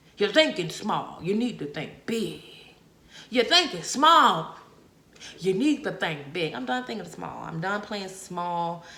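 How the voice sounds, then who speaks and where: Very wide pitch swings and an animated tone come through at a fairly slow pace, with noticeable background noise and audible room echo. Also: woman, medium pitch for a woman. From Bahamas. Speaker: podcast host. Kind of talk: solo podcast monologue.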